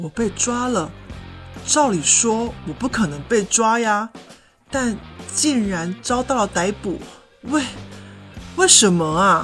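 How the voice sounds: With faint music in the background, a woman does a put-on character voice at a fairly high pitch with a slightly husky edge, speaking at a slow pace with long, frequent pauses. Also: lively intonation.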